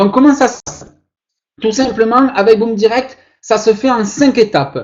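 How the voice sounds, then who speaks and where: Speaking at a fairly slow pace, a man uses an extremely high pitch with ordinary pitch variation and big swings in loudness. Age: 20s. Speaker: online investment promoter. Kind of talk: sales pitch. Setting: online webinar. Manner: animated, showman-like.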